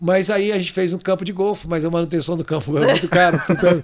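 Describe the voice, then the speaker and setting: A man's high voice races along very fast amid noticeable background noise. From Brazil, Goiás. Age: 60s. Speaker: real estate entrepreneur. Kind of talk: podcast interview.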